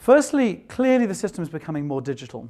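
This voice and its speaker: On a very clean recording with a silent background, a man with a non-native accent talks at a fairly quick pace. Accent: non-American, noticeable. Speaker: tech executive, conference speaker. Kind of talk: conference keynote talk. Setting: stage with audience.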